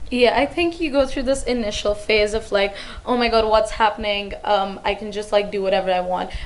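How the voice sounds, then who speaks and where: Noticeable background noise sits behind a woman speaking at a fairly quick pace. Her fairly high voice shows ordinary pitch variation. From India. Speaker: international university student. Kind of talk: casual chat.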